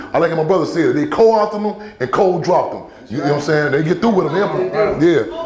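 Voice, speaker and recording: A man with an American accent, high-pitched and animated, at a very fast pace with ordinary pitch variation, amid audible room echo and noticeable background noise. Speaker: activist. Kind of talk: public talk answering questions. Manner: animated, repetitive stammering.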